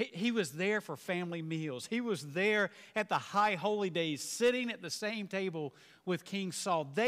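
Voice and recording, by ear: Pitch varies in an ordinary way as the speaker reads aloud in a natural voice.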